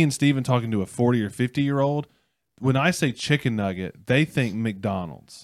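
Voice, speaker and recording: In a very clean recording with a silent background, a man with an ordinary speaking voice talks at a moderate pace, his medium pitch carrying lively intonation. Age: 30s. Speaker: student ministry pastor and podcast host. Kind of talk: casual chat. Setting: studio.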